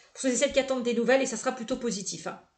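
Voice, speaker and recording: A woman speaks in a high pitch. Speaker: tarot card reader. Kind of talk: tarot reading. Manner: fast; animated.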